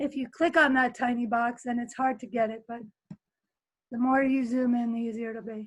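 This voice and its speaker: Against a quiet background, a woman speaks at a moderate pace in a high pitch with monotone, flat intonation. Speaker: teacher running a video editing workshop. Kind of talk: tutorial. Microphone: webcam.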